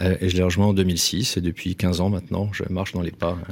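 A man speaks with a very deep, low pitch and fairly even intonation. The recording is very clean with a silent background. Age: 40s. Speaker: real estate executive and essayist. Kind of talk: interview. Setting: studio.

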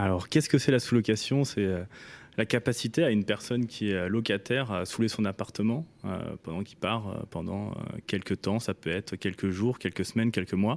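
A man talks at a moderate pace in a normal speaking voice, with ordinary pitch variation. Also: fairly low pitch for a man. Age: 20s. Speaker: startup founder. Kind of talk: radio interview.

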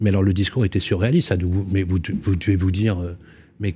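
A man speaks with a dark, mellow tone that is somewhat breathy. The recording is very clean, with a silent background. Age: old. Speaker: radio co-host. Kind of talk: radio interview.

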